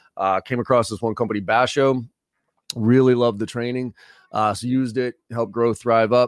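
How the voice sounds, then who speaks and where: A man with an American accent talks at a very fast pace and fairly even intonation. The sound is dry and close with no echo, over a quiet background. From Boston, US. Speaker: sales trainer. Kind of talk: interview.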